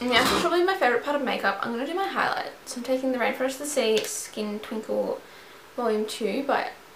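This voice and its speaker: A woman's high-pitched voice over noticeable background noise. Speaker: beauty vlogger. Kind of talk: tutorial. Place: home room. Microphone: camera far.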